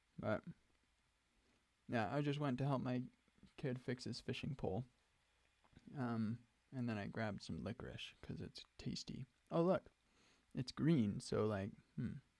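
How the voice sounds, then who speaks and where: A quiet man talks at a medium pitch and a fairly slow pace with ordinary pitch variation and long, frequent pauses. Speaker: software developer streamer. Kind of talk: live coding stream. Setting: home studio with green screen. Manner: casual with many fillers.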